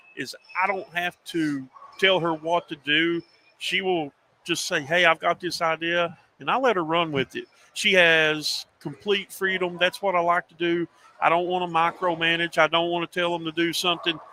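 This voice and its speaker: In a monotone, flat intonation, a man with a high pitch talks at a moderate pace. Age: 50s. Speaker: sports journalist and media network owner. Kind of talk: casual interview chat. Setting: livestream show.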